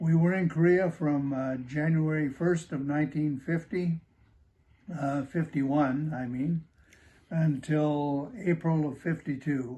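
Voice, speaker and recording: A dark, mellow, somewhat breathy tone at a fairly slow pace, with fairly even intonation. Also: man, fairly high pitch for a man. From Upper Michigan, US. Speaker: war veteran. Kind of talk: oral history interview. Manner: halting, many fillers.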